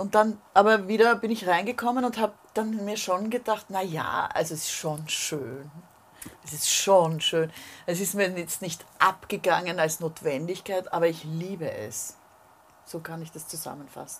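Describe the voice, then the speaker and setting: A woman talks in a normal speaking voice, her medium pitch showing ordinary pitch variation at a moderate pace. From Vienna, Grinzing. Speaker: singer. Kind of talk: casual chat.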